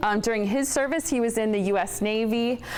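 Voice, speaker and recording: Noticeable background noise surrounds a woman's voice. She talks at a very fast pace with ordinary pitch variation. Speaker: TV presenter hosting awards. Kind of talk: award presentation speech. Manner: loud; animated.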